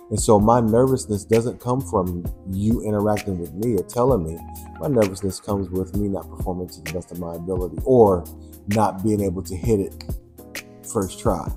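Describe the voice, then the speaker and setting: A man's very deep, low voice in a playful tone, with big swings in loudness and music in the background. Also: ordinary pitch variation, moderate pace. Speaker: first-time audiobook narrator. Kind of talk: interview answer. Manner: casual, playful.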